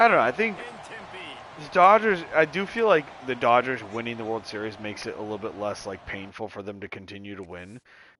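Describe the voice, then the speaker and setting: Amid noticeable background noise, a man talks fairly quickly in an animated tone at a medium pitch, his intonation lively and his loudness swinging widely. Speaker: video game streamer. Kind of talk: casual gameplay commentary.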